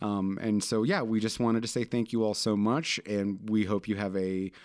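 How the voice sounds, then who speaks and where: In a very clean recording with a silent background, a man talks in an unremarkable speaking voice at a fairly low pitch. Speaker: podcast co-host. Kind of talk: casual chat.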